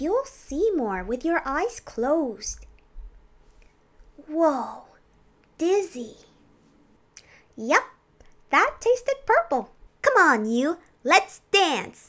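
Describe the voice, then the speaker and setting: A woman uses a put-on character voice at an extremely high pitch with very wide pitch swings. She talks at a very slow pace with long, frequent pauses. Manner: playful.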